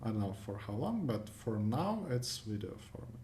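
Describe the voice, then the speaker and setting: Audible room echo surrounds a man talking. He has a non-native accent and a fairly slow pace. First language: not English. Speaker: competitive programming YouTuber. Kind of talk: screencast tutorial wrap-up. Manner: casual, hesitant with many fillers.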